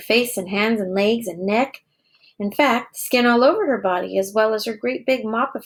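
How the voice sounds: Against a quiet background, a natural reading voice comes through with ordinary pitch variation.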